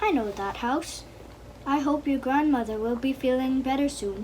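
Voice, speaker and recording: Putting on a gruff character voice pitched high, a woman talks at a moderate pace against clear background noise. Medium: read story. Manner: sly, falsely sweet.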